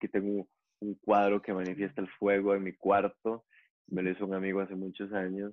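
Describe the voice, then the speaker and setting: A man with a Costa Rican accent talks at a fairly quick pace in a fairly low, monotone, flat voice. The background is quiet. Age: 40s. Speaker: yoga teacher; yoga teacher guest. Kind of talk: interview conversation. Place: home room. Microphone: earbuds.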